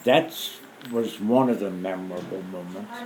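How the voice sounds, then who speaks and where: With an American accent, a man speaks at a very slow pace with ordinary pitch variation, amid noticeable background noise and audible room echo. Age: 60s. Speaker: war veteran. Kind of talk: oral history interview. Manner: halting.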